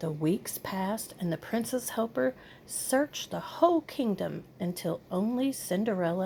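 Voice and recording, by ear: The speaker is reading aloud in a natural voice, with lively intonation.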